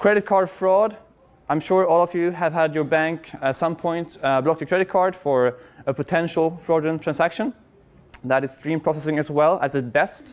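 Moderately paced speech from a man with a Swedish accent, a fairly high pitch and ordinary pitch variation. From Sweden. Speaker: software consultant and conference speaker; conference speaker. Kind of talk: conference talk. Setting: stage with audience. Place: hall.

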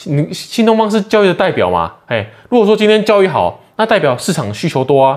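A man at a moderate pace, with very wide swings in pitch, over a quiet background. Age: 30s. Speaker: stock market YouTuber. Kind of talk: casual market commentary. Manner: animated. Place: home room. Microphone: phone near.

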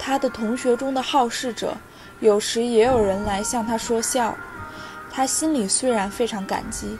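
Over music in the background, a woman with a fairly high pitch speaks at a fairly slow pace. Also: fairly even intonation. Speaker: audiobook narrator. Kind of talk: audiobook literary reading.

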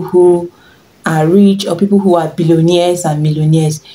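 A woman with a Nigerian accent speaks with fairly even intonation. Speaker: fashion and lifestyle vlogger; lifestyle vlogger. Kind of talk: tutorial. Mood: warm, encouraging.

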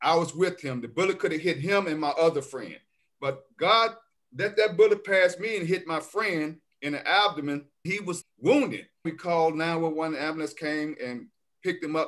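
The background is quiet. A man talks at a high pitch. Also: ordinary pitch variation, moderate pace. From Memphis, Tennessee. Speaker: healthcare worker. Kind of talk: interview, life story. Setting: video call. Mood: earnest personal storytelling. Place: home room. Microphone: video call.

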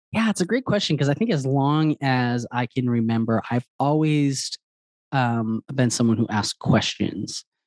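In a dry sound with no echo and a quiet background, a man of medium pitch talks at a moderate pace with lively intonation. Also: very even loudness. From Wisconsin. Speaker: author; interview guest. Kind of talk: interview. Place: home room. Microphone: studio mic.

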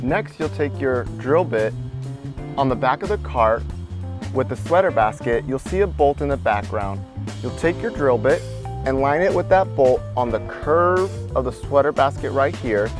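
A man is speaking with clear music in the background. The sound is dry, with no echo. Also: moderate pace. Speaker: installer demonstrating. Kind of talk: tutorial.

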